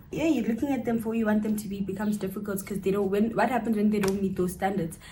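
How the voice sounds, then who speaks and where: A woman speaks very fast at a medium pitch with fairly even intonation. Audible room echo and noticeable background noise accompany her. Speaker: cousin of the channel host, guest. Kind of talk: casual chat.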